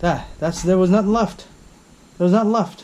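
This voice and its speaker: There is noticeable background noise as a man speaks with a high pitch. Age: 30s. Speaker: auto mechanic video host. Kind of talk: tutorial. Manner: halting; animated.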